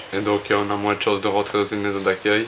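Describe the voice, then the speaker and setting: Amid noticeable background noise, a man speaks with a fairly low pitch. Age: 20s. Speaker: homeless young man. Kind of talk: interview. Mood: subdued, hesitant. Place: home room.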